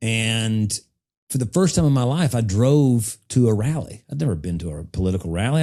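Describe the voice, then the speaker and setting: With an Appalachian accent, a man speaks at a medium pitch in a dark, mellow tone with lively intonation. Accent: Southern US (Appalachian). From US South, eastern Tennessee. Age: 40s. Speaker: political strategist. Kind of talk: podcast interview. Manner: conversational, casual.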